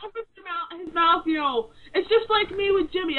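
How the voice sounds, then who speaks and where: Noticeable background noise fills the clip. Over it, a woman talks at a very fast pace. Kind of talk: casual radio show talk.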